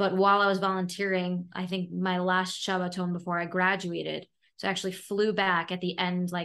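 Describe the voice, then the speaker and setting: A woman with an American accent and a medium pitch speaks in a bright, sharp tone against a quiet background. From New York, Brooklyn (Flatbush). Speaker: social media influencer. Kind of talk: casual interview chat. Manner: animated, uses voices when quoting people.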